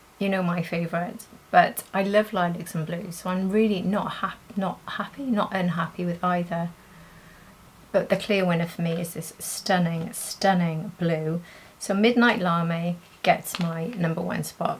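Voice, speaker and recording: Soft-spoken and somewhat breathy, a woman with a British accent talks at a fairly slow pace. Her pitch is fairly low, and her intonation is fairly even. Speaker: beauty youtuber. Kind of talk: makeup tutorial and review. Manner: soft-spoken, talking quietly.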